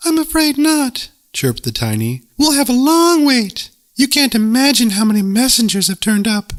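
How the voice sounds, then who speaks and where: In a put-on character voice with ordinary pitch variation, someone speaks at a moderate pace on a very clean recording with a silent background. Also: man, extremely high pitch for a man. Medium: read story. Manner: chirpy, slightly condescending.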